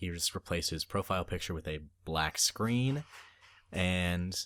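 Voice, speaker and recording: A man with an American accent and a very deep, low pitch, speaking at a fairly slow pace with lively intonation, on a very clean recording with a silent background. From US South. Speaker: podcast co-host. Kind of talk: casual chat.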